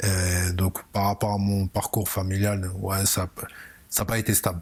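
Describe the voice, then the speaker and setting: A man speaks at a very slow pace in a fairly low pitch, his intonation monotone and flat. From Belgium, Brussels (Molenbeek). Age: 30s. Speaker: football coach. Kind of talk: interview.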